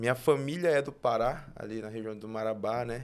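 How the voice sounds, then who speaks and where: A man speaks at a medium pitch with ordinary pitch variation in an unremarkable speaking voice. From northern Tocantins, Brazil. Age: 20s. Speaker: guest sharing faith testimony. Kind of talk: testimony.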